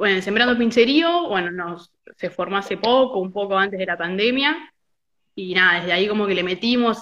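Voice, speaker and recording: A woman's medium-pitched voice, bright and sharp in tone, with ordinary pitch variation at a moderate pace. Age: 20s. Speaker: football fan activist. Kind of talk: casual chat. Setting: video call.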